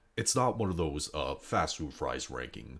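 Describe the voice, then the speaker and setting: Very deep and low, a man's quiet voice carries vocal fry. He speaks at a moderate pace with lively intonation. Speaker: youtuber. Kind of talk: casual monologue. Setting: indoors at home, others sleeping. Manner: quiet, subdued; hesitant, many fillers. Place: home room.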